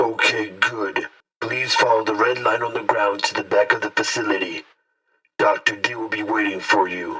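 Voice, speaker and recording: A man puts on a character voice. He speaks at a moderate pace. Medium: audio drama. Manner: brisk, official.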